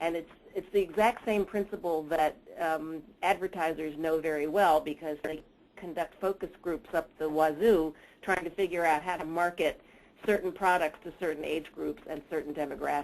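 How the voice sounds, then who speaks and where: A woman talks at a moderate pace in a fairly low pitch with fairly even intonation. It is a normal speaking voice. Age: 60s. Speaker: researcher and mentoring expert. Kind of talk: webinar presentation.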